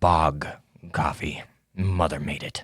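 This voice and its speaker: Using a put-on character voice, a man speaks with a very deep, low pitch. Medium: actual play. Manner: dry, offhand.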